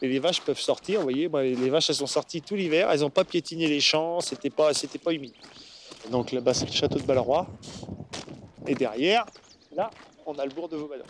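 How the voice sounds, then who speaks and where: A fairly high-pitched man speaking at a fairly quick pace with ordinary pitch variation, long, frequent pauses, and noticeable background noise. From Normandy, Bessin. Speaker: organic dairy farmer and local councillor. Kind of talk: casual interview. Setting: on his farm. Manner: hesitant, many fillers.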